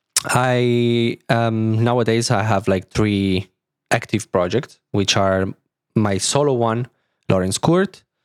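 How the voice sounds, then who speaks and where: A man's medium-pitched voice in an Italian accent, with ordinary pitch variation, very even loudness, and a dry, close sound with no echo. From Italy, near Milan. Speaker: DJ and music producer. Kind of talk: casual interview.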